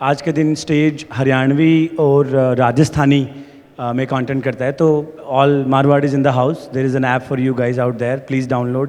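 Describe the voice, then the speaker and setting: A man's medium-pitched voice with monotone, flat intonation, against noticeable background noise. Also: moderate pace. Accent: Haryana. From India, rural Haryana. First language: Haryanvi. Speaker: startup founder. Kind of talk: panel discussion. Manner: mixes Hindi and English.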